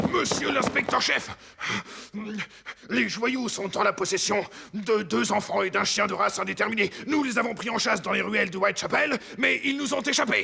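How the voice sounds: A man puts on a cartoonish character voice at a high pitch, speaking at a moderate pace with long, frequent pauses. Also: ordinary pitch variation.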